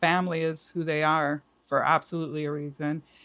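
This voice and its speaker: A plain, everyday voice moves at a moderate pace over a quiet background. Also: woman. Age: 60s. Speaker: artist and art teacher. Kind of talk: casual interview chat. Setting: studio.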